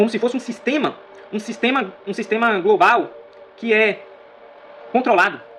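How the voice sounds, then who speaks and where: The voice moves at a moderate pace with ordinary pitch variation, set against noticeable background noise. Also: man. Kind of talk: video monologue on Bible prophecy. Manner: repetitive, emphatic.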